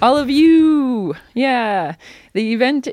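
In a very clean recording with a silent background, a woman speaks with very wide swings in pitch. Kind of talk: interview.

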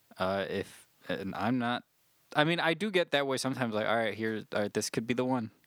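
A man with a normal speaking voice talks at a fairly quick pace with lively intonation. The sound is dry and close, with no echo. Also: medium pitch for a man. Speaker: podcast host. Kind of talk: casual banter.

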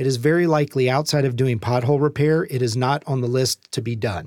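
Very fast speech in a dark, mellow tone with ordinary pitch variation, on a very clean recording with a silent background. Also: man. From Louisiana. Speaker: city council member. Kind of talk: interview.

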